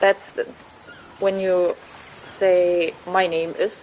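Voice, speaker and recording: Over noticeable background noise, a woman with a German accent speaks at a medium pitch. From Germany. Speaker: gaming streamer. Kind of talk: casual chat. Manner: informal, hesitant speech.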